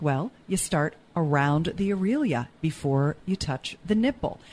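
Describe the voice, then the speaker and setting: With an ordinary speaking voice, a woman of fairly low pitch talks at a fairly slow pace with lively intonation. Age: 50s. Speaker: sex educator and author. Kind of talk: casual chat; tutorial.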